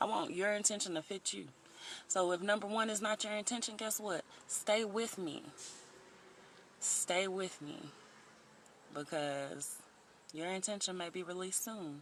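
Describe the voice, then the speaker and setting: With a slight Southern US accent, a woman speaks at medium pitch and a moderate pace. Her pitch varies in an ordinary way, and she takes long, frequent pauses. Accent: a little country. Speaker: life coach vlogger. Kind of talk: motivational livestream talk. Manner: casual, chatty with fillers.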